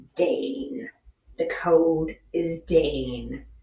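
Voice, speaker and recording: A growling, put-on character voice at a middle pitch. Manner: grave, conspiratorial.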